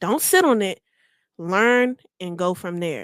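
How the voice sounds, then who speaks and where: A woman at a medium pitch, with a dry, close sound with no echo, on a very clean recording with a silent background. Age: 20s. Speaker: singer and rapper. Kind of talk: interview.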